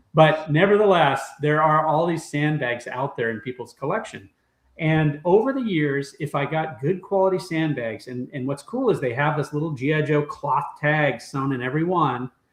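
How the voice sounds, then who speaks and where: A man's normal speaking voice, fairly high in pitch, with ordinary pitch variation, a moderate pace and hardly any pauses. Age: 60s. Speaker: toy collector and former toy brand executive. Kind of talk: casual chat.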